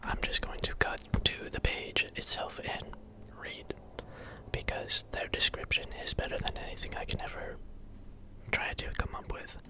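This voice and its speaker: A man whispering at a moderate pace, with long, frequent pauses and noticeable background noise. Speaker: ASMR creator. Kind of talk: casual ASMR ramble to camera. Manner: whispering, rambling.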